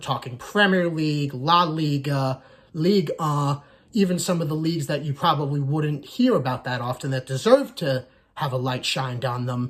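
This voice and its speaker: A somewhat breathy man with an American accent speaks at a moderate pace, his fairly high pitch showing ordinary variation. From United States. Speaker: soccer YouTuber, Arsenal fan. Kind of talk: casual channel introduction monologue.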